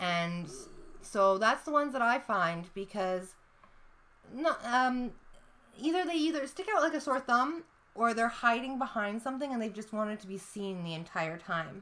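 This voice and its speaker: Loud and bright with a sharp tone, the voice makes very wide pitch swings. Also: woman, fairly high pitch for a woman, moderate pace. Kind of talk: casual chat.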